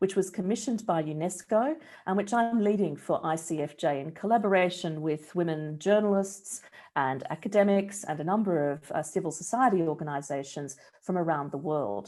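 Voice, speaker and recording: A dark, mellow tone in an Australian accent, with ordinary pitch variation at a moderate pace. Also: woman. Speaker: research director, journalism researcher. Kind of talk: presentation of research findings. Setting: online talk with screen sharing.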